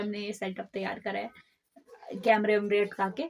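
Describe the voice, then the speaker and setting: A woman talks at a moderate pace. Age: 20s. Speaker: podcast co-host. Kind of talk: casual chat.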